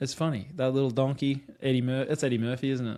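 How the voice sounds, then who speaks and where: With an Australian accent, the speaker goes at a moderate pace in a very clean recording with a silent background. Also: man. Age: 30s. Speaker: podcast host. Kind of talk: casual chat.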